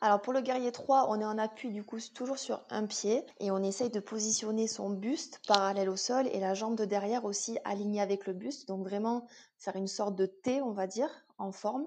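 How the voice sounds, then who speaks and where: Speaking at a moderate pace with fairly even intonation, a woman's fairly high voice comes through over a quiet background. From southwest France. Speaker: yoga teacher and fitness coach. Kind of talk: casual interview. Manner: hesitant, many fillers.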